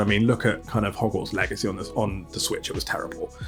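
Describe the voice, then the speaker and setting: Music plays in the background while a man talks. He has a British accent and a medium pitch. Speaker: gaming YouTuber. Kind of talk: casual Q&A monologue. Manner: relaxed.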